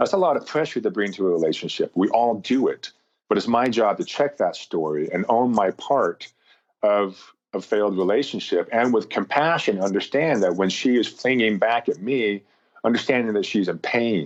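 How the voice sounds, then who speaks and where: With a normal speaking voice, a man talks at a moderate pace and medium pitch, his loudness very even and his intonation lively, over a quiet background. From US West (rural Montana). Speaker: motivational speaker, former basketball player. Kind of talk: podcast interview.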